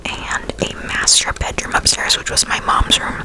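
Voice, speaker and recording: Whispering from a woman at a fairly slow pace, with noticeable background noise. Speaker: ASMR creator. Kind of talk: personal ghost story told to camera. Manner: casual, chatty.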